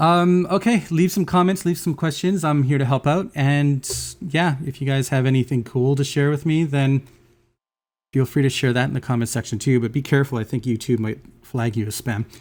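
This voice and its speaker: In a very clean recording with a silent background, a man talks at a fairly high pitch with ordinary pitch variation. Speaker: music software tutorial maker. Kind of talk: tutorial. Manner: fast; casual, filler-heavy.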